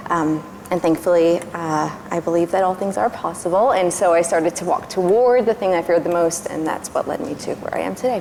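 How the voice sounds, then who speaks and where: Against noticeable background noise, a woman speaks in a fairly low pitch with ordinary pitch variation. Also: fairly quick pace, hardly any pauses. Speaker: speech therapist. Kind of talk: panel discussion. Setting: stage with audience.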